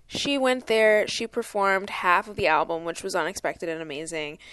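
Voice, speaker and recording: A woman talks at a fairly quick pace with lively intonation against a quiet background. She has a plain, everyday voice. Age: 20s. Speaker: podcast co-host. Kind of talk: casual chat.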